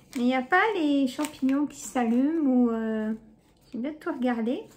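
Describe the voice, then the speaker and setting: The speaker's pitch varies in an ordinary way, and noticeable background noise can be heard. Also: woman. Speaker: YouTuber, shopping haul vlogger. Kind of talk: casual haul chat to camera. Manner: chatty, hesitant with many euh.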